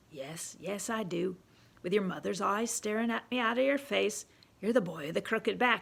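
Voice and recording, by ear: A woman uses a put-on character voice, shaky and at a medium pitch. Her intonation is lively and her pace moderate.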